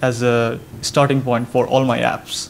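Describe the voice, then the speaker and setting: A man's medium-pitched voice with a Bengali accent, flat and monotone, with audible echo in the room. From Bangladesh. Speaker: software developer. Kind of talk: conference talk. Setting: stage with audience.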